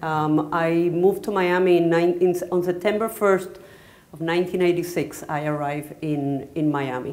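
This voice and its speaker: A fairly low-pitched woman with a Spanish accent at a moderate pace, with audible room echo. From Puerto Rico. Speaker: artist. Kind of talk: onstage interview. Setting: stage with audience. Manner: halting.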